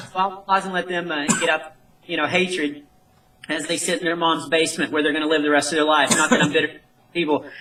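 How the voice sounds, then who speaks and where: The speaker rushes along at a very fast pace with fairly even intonation. Noticeable background noise can be heard throughout. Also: man, fairly high pitch for a man. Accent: American. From North Texas. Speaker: comedian. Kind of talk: interview.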